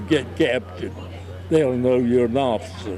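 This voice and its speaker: A man in an Southern US accent at a medium pitch. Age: 90s. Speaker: war veteran. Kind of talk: testimony.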